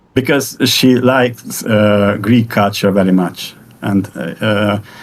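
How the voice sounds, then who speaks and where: A man with a Hungarian accent, fairly low-pitched, very slow, with very even loudness, ordinary pitch variation and noticeable background noise. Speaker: AI music creator. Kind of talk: interview. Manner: halting, many repetitions.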